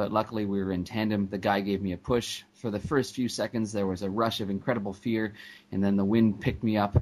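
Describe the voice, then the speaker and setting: A man with a Canadian accent talks at a fairly quick pace, with fairly even intonation and a fairly low pitch. It is an ordinary speaking voice, over a quiet background. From Canada, Vancouver. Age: 20s. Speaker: paralympic athlete and public speaker. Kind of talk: interview.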